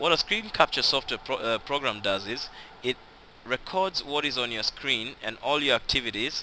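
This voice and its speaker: Lively intonation marks a man's medium-pitched, bright, sharp voice. He speaks at a moderate pace with a non-native accent. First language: not English (English is third language). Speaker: online business tutor. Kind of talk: tutorial. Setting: screen recording. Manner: casual, conversational; halting, self-correcting.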